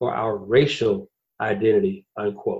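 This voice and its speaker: With an American accent, a man talks in a somewhat breathy way. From US South, Atlanta. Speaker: podcast host and blogger. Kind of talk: podcast discussion.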